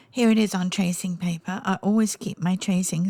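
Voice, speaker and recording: With a somewhat breathy quality, a woman talks using fairly even intonation. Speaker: painting tutor. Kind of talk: tutorial. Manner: hesitant, many ums.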